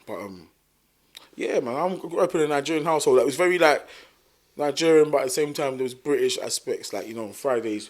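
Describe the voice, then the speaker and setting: A man with a South London accent, very fast pace and big swings in loudness. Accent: South London, multicultural London English. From South London (Thamesmead). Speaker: musician. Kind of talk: casual chat.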